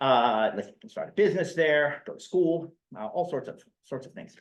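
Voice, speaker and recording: This man has a western Pennsylvania accent. He talks at a fairly quick pace with very wide pitch swings. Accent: American, western Pennsylvania. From western Pennsylvania (Mercer, near Pittsburgh). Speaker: history professor. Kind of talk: lecture. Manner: hesitant, many fillers and repetitions.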